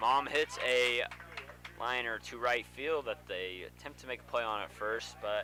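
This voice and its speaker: The loudness swings widely as the speech moves at a fairly slow pace against noticeable background noise. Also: man. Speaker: baseball play-by-play commentator. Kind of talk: live sports commentary.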